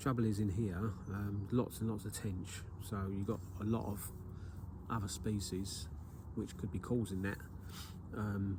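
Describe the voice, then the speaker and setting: A man with an English accent, fairly low in pitch, with a dark, mellow, somewhat breathy tone, fairly even intonation, a moderate pace and audible room echo. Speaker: carp angler and video maker. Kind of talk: outdoor fishing vlog tutorial. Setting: outdoors at a lake. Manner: hesitant, many fillers.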